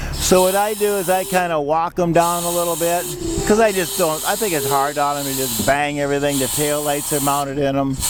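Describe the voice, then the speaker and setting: A man's voice, with ordinary pitch variation and a moderate pace, comes through noticeable background noise. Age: 60s. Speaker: equipment dealer. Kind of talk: sales demonstration. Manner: casual.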